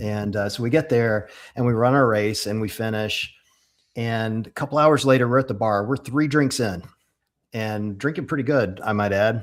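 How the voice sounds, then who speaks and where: In a very clean recording with a silent background, a man talks at a moderate pace and medium pitch with ordinary pitch variation. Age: 50s. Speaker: fitness racing athlete. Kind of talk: casual interview chat. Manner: animated.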